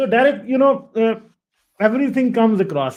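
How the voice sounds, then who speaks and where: A man speaks with a Punjabi accent. His pitch is extremely high, with ordinary pitch variation. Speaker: livestream host. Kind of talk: casual interview on livestream.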